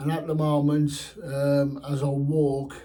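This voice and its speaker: A man speaks with a dark, mellow, somewhat breathy tone. Audible room echo surrounds his voice. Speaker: fishing vlogger. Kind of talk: personal health update vlog. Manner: slow; slurred, halting speech.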